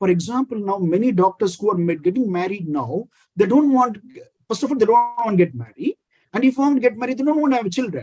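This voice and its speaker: A man with an Indian accent speaks at a fairly quick pace in a high voice with a dark, mellow tone. His intonation is lively. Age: 50s. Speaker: critical care physician. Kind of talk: interview.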